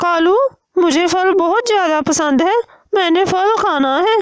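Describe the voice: A woman uses a cartoonish character voice at an extremely high pitch. She speaks at a fairly slow pace.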